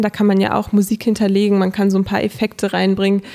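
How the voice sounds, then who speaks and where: Over noticeable background noise comes a woman's voice pitched in the middle range. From northern Germany, Hannover. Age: 20s. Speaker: social media blogger and local politician. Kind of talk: interview. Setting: studio.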